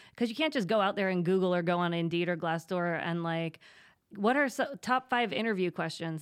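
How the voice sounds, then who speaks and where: A woman talks in a normal speaking voice with an American accent, medium pitch and lively intonation. Her pace is moderate, and the recording is very clean with a silent background. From Pennsylvania, State College. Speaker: HR consultancy owner. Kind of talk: interview.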